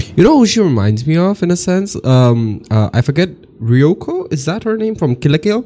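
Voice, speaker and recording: A man with a non-native accent and a dark, mellow tone, at a moderate pace with very wide pitch swings. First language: not English. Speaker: reaction youtuber. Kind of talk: video reaction commentary. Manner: animated.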